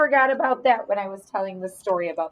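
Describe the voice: What's heard is plain reading aloud.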